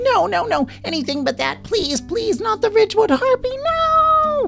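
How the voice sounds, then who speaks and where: Someone uses a squeaky put-on character voice at an extremely high pitch with very wide pitch swings, speaking at a fairly slow pace while music plays clearly in the background. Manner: wailing, desperate pleading.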